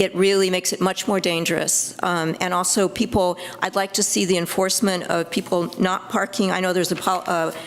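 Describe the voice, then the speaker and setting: Over noticeable background noise, a woman speaks at a very fast pace, with a fairly low pitch and fairly even intonation. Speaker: public commenter at city council meeting. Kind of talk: public comment. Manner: halting, many fillers.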